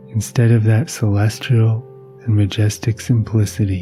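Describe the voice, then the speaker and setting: With music in the background, a man talks at a fairly slow pace in a calm, soothing tone and a fairly low pitch. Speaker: meditation teacher and sleep podcast host. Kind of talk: reading a philosophical text aloud for sleep. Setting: podcast recording. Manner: calm, soothing, slow.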